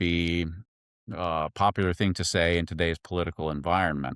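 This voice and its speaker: A man speaks at a moderate pace in a very deep, low pitch. The sound is dry and close with no echo, over a quiet background. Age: 60s. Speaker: veterinarian. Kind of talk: casual interview.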